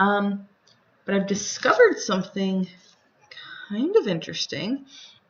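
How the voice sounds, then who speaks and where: Pitched at a medium level, a woman's voice is somewhat breathy. Her pitch varies an ordinary amount. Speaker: gaming tutorial creator. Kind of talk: tutorial. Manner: fast; casual, chatty.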